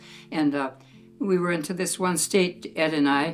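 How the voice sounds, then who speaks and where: Music plays in the background as a woman talks. Her pitch is fairly low and her intonation fairly even. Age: 80s+. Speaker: retired nurse. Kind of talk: documentary interview answer. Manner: warm, kind.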